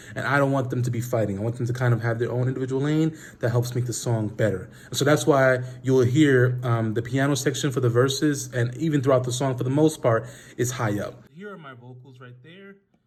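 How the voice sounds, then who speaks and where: Somewhat breathy and at medium pitch, a man talks at a fairly quick pace with fairly even intonation. His loudness swings widely, and room echo is audible. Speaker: music producer and singer. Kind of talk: tutorial. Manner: casual with frequent fillers.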